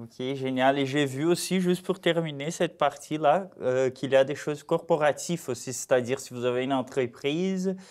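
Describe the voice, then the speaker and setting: A man with a Brazilian accent talks at a moderate pace with hardly any pauses, using a fairly high pitch, ordinary pitch variation and big swings in loudness. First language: Portuguese (speaking French). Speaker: community TV host. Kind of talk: interview. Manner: casual.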